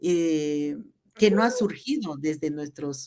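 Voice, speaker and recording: A woman speaks with a Chiapas accent. Her pitch is very deep and low. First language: Tzeltal (speaking Spanish). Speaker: teacher and cultural promoter. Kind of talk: radio interview.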